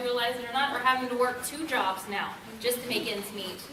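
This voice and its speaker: A woman talks loudly at a high pitch and a fairly quick pace, with audible room echo and noticeable background noise. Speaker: seminar presenter, medical coder. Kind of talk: presentation. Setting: conference room with audience, maybe no mic.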